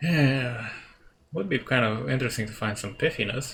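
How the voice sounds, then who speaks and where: The man's voice sits at a medium pitch and is somewhat breathy. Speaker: let's play gamer. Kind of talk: game dialogue read aloud with commentary.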